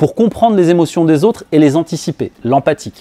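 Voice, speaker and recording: A man with a fairly high pitch and an ordinary speaking voice talks with lively intonation in a dry, close sound with no echo. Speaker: business coach. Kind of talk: talk to an audience.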